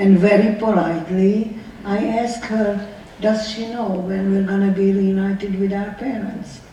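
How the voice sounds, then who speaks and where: The speech comes at a fairly slow pace with monotone, flat intonation, amid audible room echo and noticeable background noise. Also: woman, medium pitch for a woman. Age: 90s. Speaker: Holocaust survivor. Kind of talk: testimony. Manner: emotional, repetitive questioning.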